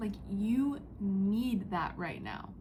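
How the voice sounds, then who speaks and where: Amid audible room echo, a woman with a dark, mellow tone and fairly high pitch speaks very slowly, somewhat breathy, with ordinary pitch variation. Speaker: psychic reader. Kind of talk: spiritual channeling message. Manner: whispering, quiet; casual, filler-heavy.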